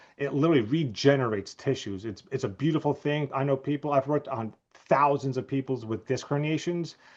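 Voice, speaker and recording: A man with a New Jersey accent speaks at a fairly quick pace and fairly high pitch. His pitch varies in an ordinary way over a quiet background. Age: 50s. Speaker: chiropractor. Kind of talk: interview.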